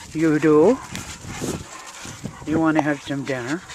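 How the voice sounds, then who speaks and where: A woman speaks slowly-ish, at a fairly slow pace, with a very deep, low pitch and ordinary pitch variation. Noticeable background noise runs behind her. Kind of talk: casual talk while driving. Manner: doting talk to pet.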